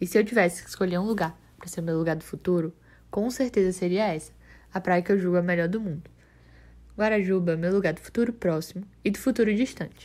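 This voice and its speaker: A woman rattles along at a very fast pace in a medium-pitched voice. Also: ordinary pitch variation. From Brazil, Salvador (Bahia). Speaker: journalism student. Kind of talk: scripted narration.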